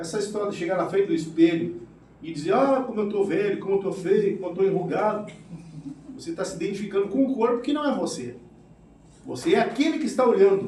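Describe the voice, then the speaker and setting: A man speaks at a very fast pace with a high pitch and lively intonation, yet with long, frequent pauses. Noticeable background noise and audible room echo surround his voice. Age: 60s. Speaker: spiritist lecturer, retired military. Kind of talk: spiritist lecture.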